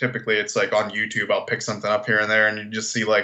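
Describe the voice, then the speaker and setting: A man with an American accent. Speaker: podcast co-host. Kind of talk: casual chat. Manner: animated.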